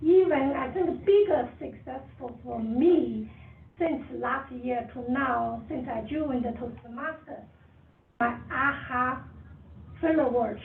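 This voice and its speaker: Amid audible room echo, a woman with a high pitch talks at a very slow pace with ordinary pitch variation. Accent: strong Chinese. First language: Chinese. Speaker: toastmasters club member. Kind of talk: impromptu speech. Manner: quiet.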